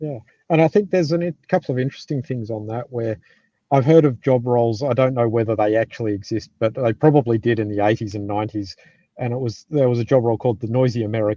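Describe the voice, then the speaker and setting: A dark, mellow voice with an Australian accent talks at a very fast pace, with ordinary pitch variation. The sound is dry and close with no echo, over a quiet background. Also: man, medium pitch for a man. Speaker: software development manager. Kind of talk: live panel discussion.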